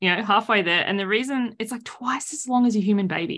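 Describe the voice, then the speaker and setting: In an Australian accent, a woman speaks at a fairly quick pace. Her fairly high voice carries lively intonation. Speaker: boundaries coach and author. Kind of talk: casual interview chat. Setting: video call.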